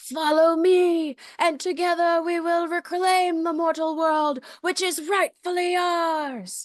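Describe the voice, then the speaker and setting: The put-on character voice sits at an extremely high pitch, moving at a fairly slow pace with hardly any pauses. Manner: dramatic, commanding.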